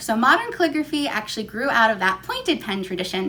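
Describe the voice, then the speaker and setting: Noticeable background noise sits behind a woman speaking with an American accent and very wide pitch swings. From New York City. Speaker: calligraphy artist and teacher. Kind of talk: tutorial. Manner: fast talker; frequent um fillers.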